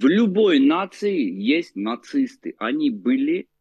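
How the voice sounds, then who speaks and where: The pace is very slow. A man's pitch ranges very widely up and down. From Baku, then Moscow. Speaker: Armenian emigrant from Baku. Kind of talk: casual interview.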